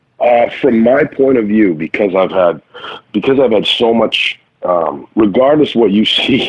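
Talking at a fairly slow pace, a man with an American accent and an ordinary speaking voice has a fairly low pitch and lively intonation. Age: 40s. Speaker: actor. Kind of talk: casual chat. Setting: remote call.

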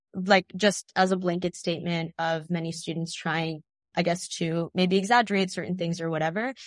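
In an American accent, a woman with an ordinary speaking voice talks at a moderate pace in a fairly low pitch with fairly even intonation, recorded in a dry, close sound with no echo. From Texas (Tyler). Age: young. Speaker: college student activist. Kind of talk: interview conversation. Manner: casual, filler-heavy.

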